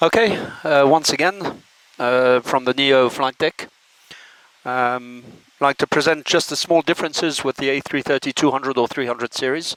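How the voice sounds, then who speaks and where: A man with a French accent talks at a moderate pace, his pitch fairly high with ordinary variation. The sound is dry and close, with no echo. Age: 60s. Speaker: airline pilot. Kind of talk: informal presentation. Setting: cockpit. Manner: halting.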